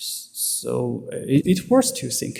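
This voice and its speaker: A man talks with a Chinese accent. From China. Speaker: security researcher. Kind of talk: conference talk. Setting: stage with audience. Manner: halting, many fillers.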